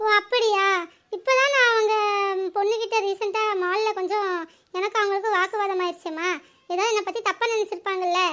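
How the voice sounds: Extremely high in pitch, a woman puts on a cartoonish character voice. Her intonation stays fairly even at a moderate pace.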